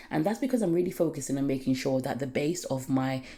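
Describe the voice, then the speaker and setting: This woman's very deep, low voice has a dark, mellow tone and lively intonation. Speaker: natural hair care vlogger. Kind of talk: tutorial. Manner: fast.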